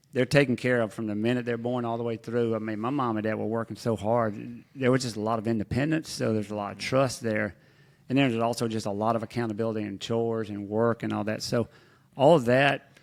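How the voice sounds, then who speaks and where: A man with a Mississippi accent, medium pitch, a very fast pace and fairly even intonation. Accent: Southern US (Mississippi). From Mississippi Delta. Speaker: business executive and former commodities trader. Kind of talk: interview. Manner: relaxed, conversational with frequent fillers.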